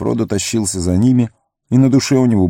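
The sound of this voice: The delivery is an unforced reading voice with ordinary pitch variation. The background is quiet.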